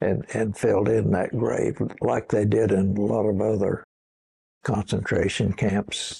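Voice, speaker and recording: With vocal fry and a fairly low pitch, a man talks at a very slow pace. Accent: American. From Oklahoma, Osage County. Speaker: war veteran. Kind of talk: oral history interview. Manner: halting, with repetitions.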